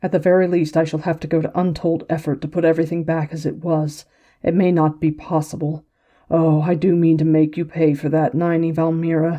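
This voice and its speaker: Against a quiet background, a woman uses a put-on character voice, fairly low in pitch, talking fairly quickly with monotone, flat intonation. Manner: angry, threatening.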